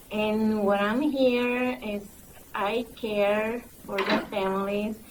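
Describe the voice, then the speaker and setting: A woman speaks at medium pitch with a strong Mexican accent. Audible room echo and noticeable background noise surround her voice. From Mexico. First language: Spanish. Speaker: migrant program recruiter. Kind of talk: panel discussion. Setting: conference panel with audience.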